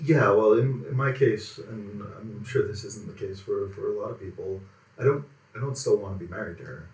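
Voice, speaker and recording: A man's somewhat breathy voice at medium pitch, moderate in pace, with ordinary pitch variation and big swings in loudness. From Quebec, Montreal area. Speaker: automotive writer. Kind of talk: casual interview. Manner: calm.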